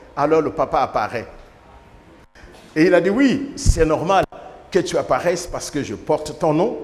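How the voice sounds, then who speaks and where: A man speaks fairly slowly, his pitch varying in an ordinary way, while noticeable background noise continues. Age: 60s. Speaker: bishop. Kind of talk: sermon.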